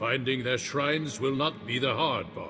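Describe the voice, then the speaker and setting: A man puts on a character voice and talks at a moderate pace, with clear background noise behind him. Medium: video game. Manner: gruff, blunt.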